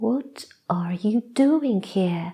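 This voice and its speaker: Shouting in a put-on character voice, a woman with a fairly high pitch is heard. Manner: angry, shouting.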